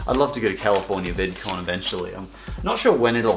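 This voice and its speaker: With music in the background and audible room echo, a man talks at a very fast pace. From Canada. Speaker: YouTuber. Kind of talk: reading fan mail, casual chat. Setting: home lounge room. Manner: halting, many fillers.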